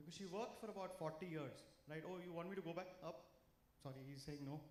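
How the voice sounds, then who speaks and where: A man's fairly high voice with ordinary pitch variation at a fairly quick pace, amid audible room echo. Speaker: financial speaker. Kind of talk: talk to a live audience. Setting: stage with audience. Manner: loud; animated.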